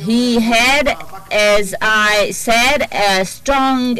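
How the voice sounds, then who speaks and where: Over music in the background, a woman with a fairly high pitch and ordinary pitch variation speaks in a dry sound with no echo. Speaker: court interpreter. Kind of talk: testimony. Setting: courtroom. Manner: formal. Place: hall.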